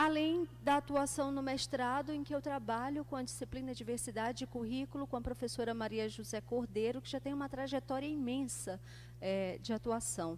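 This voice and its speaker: A woman at a moderate pace with hardly any pauses. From Brazil, Pará. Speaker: education professor. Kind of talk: academic panel talk.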